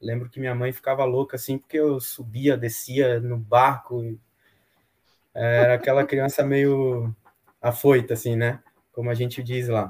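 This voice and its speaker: A man speaks at a medium pitch with flat, monotone intonation and a somewhat breathy sound. His pace is fairly slow, broken by long, frequent pauses. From Bahia, Brazil (Salvador). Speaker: sailor and boat builder. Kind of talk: casual chat. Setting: live video stream.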